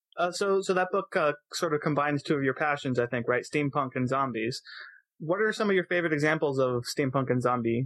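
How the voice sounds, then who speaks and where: Here is a plain, everyday voice from a man, pitched fairly high, with ordinary pitch variation. The loudness stays very even, and the sound is dry and close with no echo. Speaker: podcast host. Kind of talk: casual interview.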